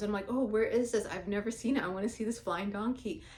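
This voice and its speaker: An animated, fairly quick voice with a Somali accent. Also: woman. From Somalia. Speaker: vlogger. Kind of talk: personal monologue vlog.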